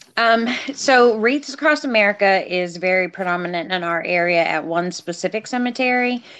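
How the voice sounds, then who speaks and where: An ordinary speaking voice with lively intonation, moving at a moderate pace. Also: woman, medium pitch for a woman. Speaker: nonprofit volunteer.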